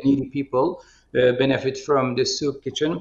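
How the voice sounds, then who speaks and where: A man with a Turkish accent, his pitch fairly high and his intonation flat and monotone. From Turkey. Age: 50s. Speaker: politician. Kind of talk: video conference discussion. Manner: halting, many fillers.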